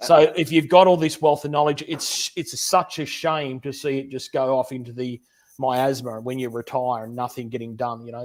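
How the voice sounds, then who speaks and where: Speaking with an Australian accent, a man keeps to a medium pitch and fairly even intonation at a fairly quick pace. His loudness swings widely. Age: 50s. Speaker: machinist YouTuber and teacher. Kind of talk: livestream interview. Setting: home workshop.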